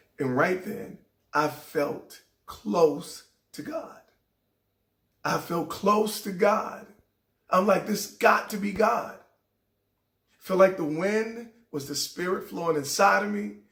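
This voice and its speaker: Speaking at a very slow pace with long, frequent pauses, a man with a high pitch shows big swings in loudness. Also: ordinary pitch variation. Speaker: radio DJ and motivational host. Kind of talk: motivational talk.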